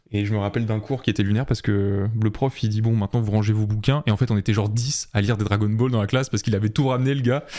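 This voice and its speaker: On a very clean recording with a silent background, a man with a fairly low pitch and a dark, mellow tone talks at a very fast pace with hardly any pauses. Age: 20s. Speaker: illustrator and art director. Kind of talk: podcast interview. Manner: hesitant, many fillers.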